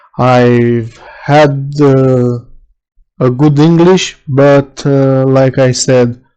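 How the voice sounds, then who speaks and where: With a non-native accent, the words come out very slowly. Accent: non-native English speaker. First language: not English (own native language, also learning German). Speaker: electronics repair technician. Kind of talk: tutorial. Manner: halting, many filler sounds.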